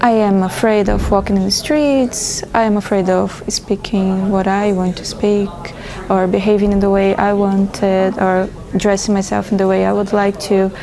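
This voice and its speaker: A woman with a Portuguese accent speaks at a medium pitch and a moderate pace. Her intonation is monotone and flat, and there is noticeable background noise. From Brazil. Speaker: feminist interviewee. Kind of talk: interview.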